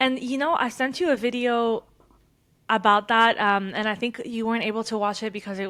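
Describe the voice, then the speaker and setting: With a slight French accent, a woman speaks at a moderate pace in a fairly high pitch, with a bright, sharp tone and ordinary pitch variation. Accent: slight French accent in her English. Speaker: podcast co-host. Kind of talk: casual chat.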